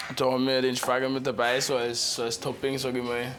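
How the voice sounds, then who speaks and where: With a Bavarian accent, a man talks at a moderate pace. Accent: Chiemgau Bavarian dialect. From Bavaria, Chiemgau. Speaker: restaurant cook. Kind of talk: casual interview.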